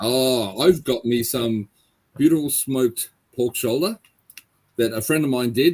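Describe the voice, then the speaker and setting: A man with an Australian accent speaks at a fairly slow pace, leaving long, frequent pauses. His pitch is medium, with ordinary variation. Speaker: paranormal investigator. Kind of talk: interview.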